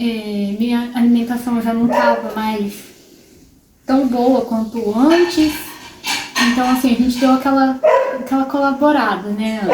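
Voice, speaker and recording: Speech comes at a fairly slow pace with fairly even intonation over noticeable background noise. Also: woman. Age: 20s. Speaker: vlogger living with multiple sclerosis. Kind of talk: personal testimony vlog. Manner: casual, with many filler pauses.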